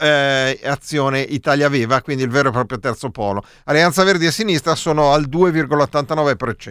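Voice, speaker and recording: The man's fairly high voice comes through in a very clean recording with a silent background and a dry, close sound with no echo. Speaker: radio co-host. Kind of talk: casual live radio chat, election night. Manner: ironic, joking.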